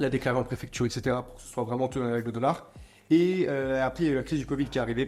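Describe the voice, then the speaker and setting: A man's medium-pitched voice races along very fast with fairly even intonation. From France, Montreuil near Paris. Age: 20s. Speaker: entrepreneur. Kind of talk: interview.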